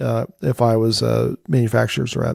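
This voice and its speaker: The man's voice has a dark, mellow tone. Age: 60s. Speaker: AI strategy consultant. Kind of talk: interview.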